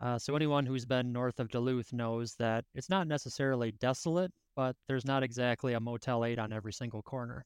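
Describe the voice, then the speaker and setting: At a fairly quick pace with hardly any pauses, a man speaks in a normal speaking voice at medium pitch, with fairly even intonation and a dry, close sound with no echo. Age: 30s. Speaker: ultrarunner. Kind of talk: casual chat.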